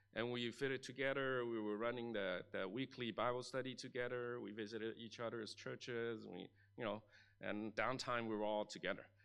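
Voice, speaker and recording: Speaking at a fairly quick pace, a man with a Chinese accent keeps a monotone, flat intonation. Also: medium pitch for a man. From Chinese-speaking region, moved to Canada at 13. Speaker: pastor. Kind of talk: sermon. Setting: church.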